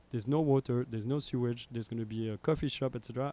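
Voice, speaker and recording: A man's dark, mellow voice with a French accent, very fast, in a dry, close recording with no echo. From Belgium (Brussels). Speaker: radio station founder. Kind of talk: casual chat. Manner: animated.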